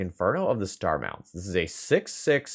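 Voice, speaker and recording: Mumbled speech at a fairly slow pace. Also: man. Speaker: Magic: the Gathering streamer. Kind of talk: gameplay commentary. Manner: mumbling a little.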